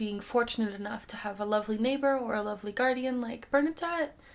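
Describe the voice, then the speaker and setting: A plain, everyday voice from a woman, fairly high-pitched and fairly quick, with ordinary pitch variation. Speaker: audiobook reader. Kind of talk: casual commentary.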